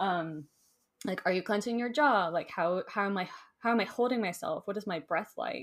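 A woman speaks with a plain, everyday voice and an American accent. Her pace is moderate and her intonation lively. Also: medium pitch for a woman. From Florida, US. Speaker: enneagram teacher and social worker. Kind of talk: casual interview chat. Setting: video call.

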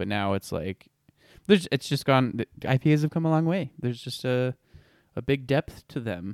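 In a dry, close sound with no echo, an unremarkable speaking voice talks at a moderate pace with lively intonation. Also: man, medium pitch for a man. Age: 30s. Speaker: off-road podcast co-host. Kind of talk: casual chat.

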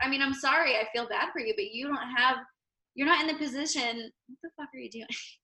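Her voice raised and projected, a woman talks at a very fast pace with a high pitch. Her loudness swings a lot, while her pitch varies in an ordinary way. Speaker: podcast co-host. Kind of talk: casual chat. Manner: excitable.

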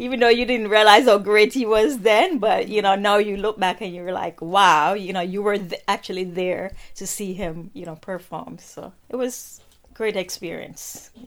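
A woman with a Jamaican accent and big swings in loudness. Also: medium pitch for a woman, ordinary pitch variation, moderate pace. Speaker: reggae fan, host's mother. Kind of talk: casual interview.

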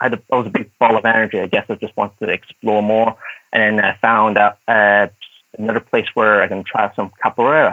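Monotone and flat, a man's fairly low voice runs at a fairly quick pace. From Dublin, Ireland. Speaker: actor and martial artist. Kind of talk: casual interview.

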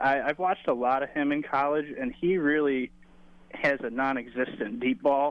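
Fairly high pitch from a man, with ordinary pitch variation. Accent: American. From New York. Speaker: caller, football fan. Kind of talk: call-in. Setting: phone call. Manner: halting.

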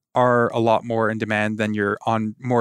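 Very clean and dry with no echo or background sound, the recording has a man with a medium pitch and a Midwestern American accent speaking at a moderate pace in a flat monotone. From Michigan, near Detroit. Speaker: tech recruitment director. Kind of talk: interview.

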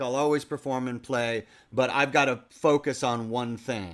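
A normal speaking voice from a man, at a moderate pace with ordinary pitch variation. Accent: American. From New York. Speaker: voice actor. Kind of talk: casual chat.

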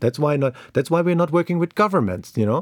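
A man with a German accent speaks with very wide pitch swings, the sound dry and close with no echo, on a very clean recording with a silent background. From East Germany. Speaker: political foundation director. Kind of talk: interview. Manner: halting, many fillers and repetitions.

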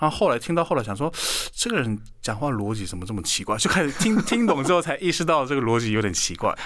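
A man with a Korean accent, fairly high pitch and very wide pitch swings, at a very fast pace over noticeable background noise. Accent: Korean-accented Mandarin. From South Korea. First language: Korean (speaking Chinese). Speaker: Korean language teacher and YouTuber. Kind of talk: radio interview.

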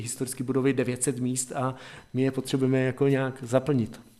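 At a fairly quick pace, a man of medium pitch speaks with monotone, flat intonation. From Slovakia, Púchov. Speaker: theatre director. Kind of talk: interview. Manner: hesitant, many fillers.

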